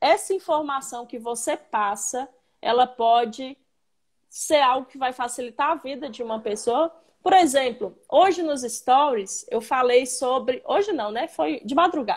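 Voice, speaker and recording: Speaking fairly slowly, a woman with a high voice uses lively intonation and big swings in loudness. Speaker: civil engineer, live stream host. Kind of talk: casual live stream interview. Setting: online live stream.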